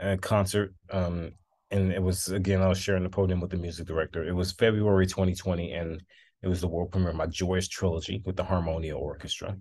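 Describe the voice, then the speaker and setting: Speaking very fast over a quiet background, a man with a very deep, low pitch sounds somewhat breathy and keeps a flat, monotone intonation. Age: 20s. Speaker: composer and conductor. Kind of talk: interview.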